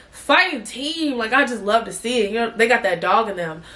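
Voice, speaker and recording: Noticeable background noise behind a woman speaking at a fairly quick pace. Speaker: sports podcast host. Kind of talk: casual podcast talk.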